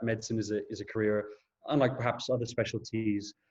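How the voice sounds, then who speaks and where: A man talks at a very fast pace in a monotone, flat intonation. His voice is somewhat breathy. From Portugal. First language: Portuguese. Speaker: junior doctor. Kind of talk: lecture. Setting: video call. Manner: hesitant, frequent fillers and repeats.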